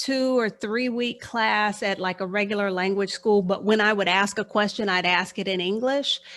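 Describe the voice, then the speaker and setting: In a very clean recording with a silent background, a woman with an American accent uses a normal speaking voice, medium in pitch, at a fairly slow pace. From Texas, Houston. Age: 50s. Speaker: financial life coach. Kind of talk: interview.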